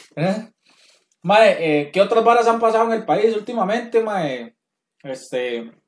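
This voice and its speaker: A man speaks at a fairly slow pace with a high pitch. He leaves long, frequent pauses. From Costa Rica. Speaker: podcast host. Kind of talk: casual chat.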